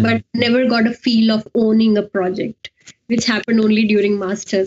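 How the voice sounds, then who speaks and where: Her pace is moderate and her intonation fairly even. The woman's fairly high voice is somewhat breathy. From India. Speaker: scientific writer and editor, researcher. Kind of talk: interview. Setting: video call.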